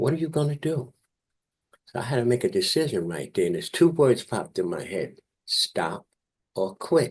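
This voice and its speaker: A man with a New York accent speaks in a fairly high voice with vocal fry and very wide pitch swings. His pace is moderate, with long, frequent pauses. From New York, South Bronx. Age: 70s. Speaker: Marine veteran. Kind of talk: interview testimony.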